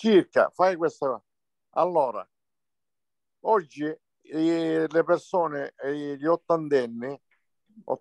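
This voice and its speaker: Very slowly, with long, frequent pauses and ordinary pitch variation, a man speaks in a dry, close sound with no echo against a quiet background. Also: fairly high pitch for a man, big swings in loudness. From Sicily. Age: 60s. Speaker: local community member. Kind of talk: casual chat.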